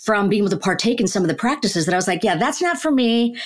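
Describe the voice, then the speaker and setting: A medium-pitched woman with a Chicago accent. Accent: General American, Chicago. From US Midwest, Chicago suburbs. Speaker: neuroscientist and author. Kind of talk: interview conversation.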